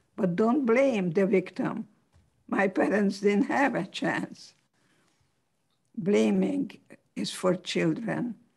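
Speaking at a very slow pace, a woman leaves long, frequent pauses. Her medium-pitched voice shows vocal fry and ordinary pitch variation. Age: 80s+. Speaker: psychologist and author. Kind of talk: talk and interview answer.

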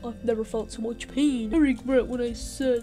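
A female-sounding, put-on character voice with a high pitch moves at a moderate pace while music plays clearly in the background. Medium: machinima. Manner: melodramatic, whiny.

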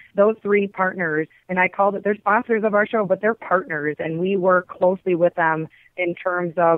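Woman's fairly low voice in a Wisconsin accent with monotone, flat intonation. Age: 40s. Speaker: hunter, outdoor TV host and skull artist. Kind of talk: interview.

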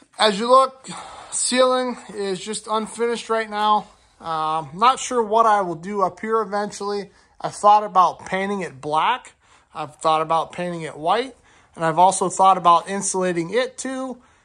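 A moderate pace against a quiet background. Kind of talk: walk-through tour narration. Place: garage. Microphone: phone near.

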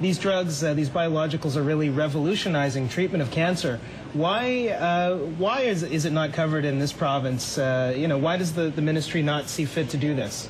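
A man's fairly high voice at a moderate pace, with ordinary pitch variation, hardly any pauses, very even loudness, and noticeable background noise. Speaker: TV health show host and physician. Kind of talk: TV interview with call-in questions. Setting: TV studio.

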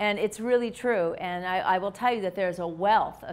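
A woman talks in an American accent with ordinary pitch variation. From Minnesota, US Midwest. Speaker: physician; presenter. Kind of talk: lecture. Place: hall.

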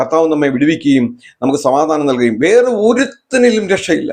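A man's voice with very wide pitch swings. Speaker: preacher. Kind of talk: sermon.

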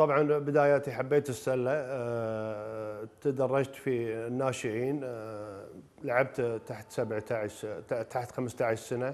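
A man speaks at a very slow pace. His pitch sits in the medium range, with fairly even intonation. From Kuwait. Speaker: former basketball player and coach; coach. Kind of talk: personal reminiscence in a TV interview. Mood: calm, reflective. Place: home room. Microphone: lapel.

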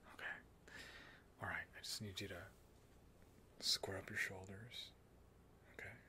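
A man whispers. He leaves long, frequent pauses. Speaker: ASMR performer. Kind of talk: ASMR reiki role-play, guiding the listener through affirmations. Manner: soft, gentle, slow-paced. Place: home room. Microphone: studio mic.

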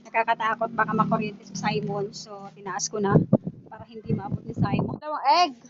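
Over noticeable background noise, a woman with a fairly high pitch speaks in a fairly even intonation, her loudness swinging widely. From Zamboanga del Norte, Philippines. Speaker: sari-sari store owner vlogger. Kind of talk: casual vlog narration. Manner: filler-heavy, halting.

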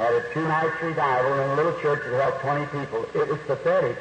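A man talks at a moderate pace. Noticeable background noise can be heard behind him. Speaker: preacher. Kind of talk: sermon.

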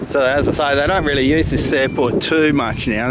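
Against loud background noise, a man speaks at a fairly slow pace in a dry sound with no echo. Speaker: dog owner vlogger. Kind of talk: casual vlog chat. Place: street. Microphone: phone near.

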